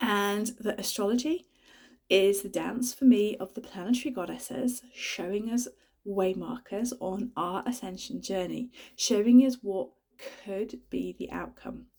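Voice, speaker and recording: At a fairly slow pace, a woman with a British accent speaks in a medium pitch with ordinary pitch variation. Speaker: spiritual astrology vlogger. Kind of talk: casual spiritual talk to camera.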